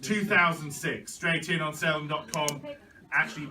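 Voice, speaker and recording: Over noticeable background noise, a man with a fairly high voice speaks at a fairly slow pace. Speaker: auctioneer. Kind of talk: auction bid calling.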